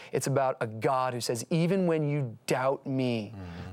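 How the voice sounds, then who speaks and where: A man with a plain, everyday voice speaks at a medium pitch with ordinary pitch variation. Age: 30s. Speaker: pastor. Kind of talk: casual chat.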